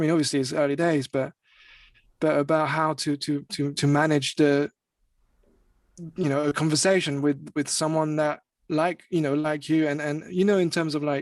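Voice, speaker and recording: With a French accent, a man speaks at a moderate pace in a fairly high pitch, using monotone, flat intonation, very even loudness and long, frequent pauses, in a dry, close sound with no echo over a quiet background. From France. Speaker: music artist and singer. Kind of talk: interview. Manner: halting, many fillers and repetitions.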